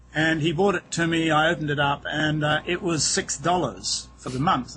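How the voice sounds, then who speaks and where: The speaker has a New Zealand accent and keeps a moderate pace. Music plays in the background. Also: man. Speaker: real estate agent. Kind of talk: interview. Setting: outdoors on a boat dock, over wireless internet.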